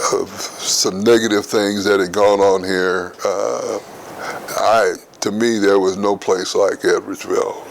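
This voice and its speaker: Noticeable background noise runs under a man talking fairly slowly. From rural Missouri, US. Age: 80s+. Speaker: retired administrator, longtime resident. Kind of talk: interview. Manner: halting, many fillers and repetitions.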